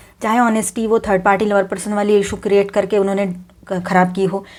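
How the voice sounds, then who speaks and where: A woman's medium-pitched voice in a flat monotone. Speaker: tarot reader. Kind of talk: tarot reading. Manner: quiet.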